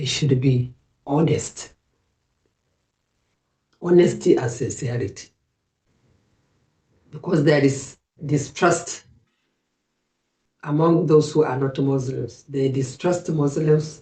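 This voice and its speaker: Very slowly and with long, frequent pauses, a woman speaks in a very deep, low, dark and mellow voice that is somewhat breathy, with fairly even intonation. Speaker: Islamic advice speaker, interview guest. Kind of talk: interview answer, Islamic reminder.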